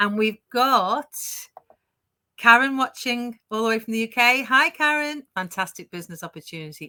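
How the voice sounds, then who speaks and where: A woman's tone is bright and sharp, at a moderate pace. The sound is dry and close, with no echo. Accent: British. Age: 60s. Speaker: online business owner, live show host. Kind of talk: casual chat. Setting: live stream. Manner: animated.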